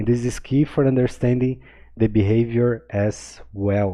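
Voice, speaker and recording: The speaker has a non-native accent and a moderate pace. Pitch varies in an ordinary way. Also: man. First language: not English. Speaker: crypto trading analyst. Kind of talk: chart analysis tutorial. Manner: casual, filler-heavy with many okays.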